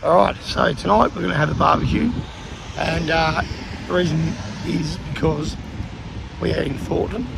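A man with an Australian accent at a moderate pace, long, frequent pauses, audible room echo and noticeable background noise. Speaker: vlogger. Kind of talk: casual chat.

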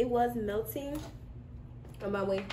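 A woman keeps a moderate pace while noticeable background noise sits behind her. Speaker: snack reviewer. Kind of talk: casual vlog chat. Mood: relaxed, cheerful. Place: home room. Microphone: camera far.

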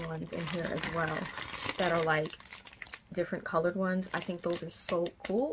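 A woman with a fairly low pitch talks at a moderate pace in a monotone, flat intonation, with noticeable background noise behind her. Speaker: book vlogger. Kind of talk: casual vlog chat. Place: home room.

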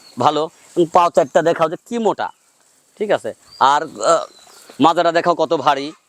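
The recording is dry and close with no echo, carrying a man's high-pitched voice with fairly even intonation. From Bangladesh, Pabna district. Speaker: cattle farmer and seller. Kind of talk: sales pitch.

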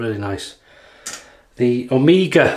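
In a North Welsh accent, a man talks at a fairly slow pace. His pitch varies in an ordinary way against a quiet background. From North Wales. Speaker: YouTube wet shaving reviewer; shaving vlogger. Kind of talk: casual product demo while shaving. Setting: home video recording. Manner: relaxed, chatty with fillers. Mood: relaxed, light-hearted. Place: bathroom. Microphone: phone near.

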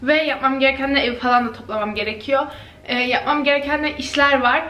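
A woman's raised, projected voice with audible room echo. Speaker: vlogger. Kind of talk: casual vlog chat. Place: kitchen. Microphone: phone near.

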